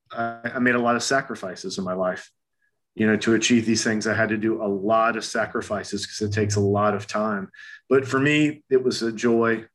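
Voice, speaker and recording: A man in an ordinary speaking voice speaks at a fairly quick pace and medium pitch with fairly even intonation over a quiet background. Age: 50s. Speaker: acupuncturist and holistic health practitioner. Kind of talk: interview conversation.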